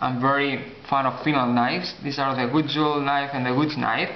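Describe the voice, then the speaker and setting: Over noticeable background noise, a man with a non-native accent talks at a moderate pace in a fairly high pitch. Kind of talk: casual talk to camera.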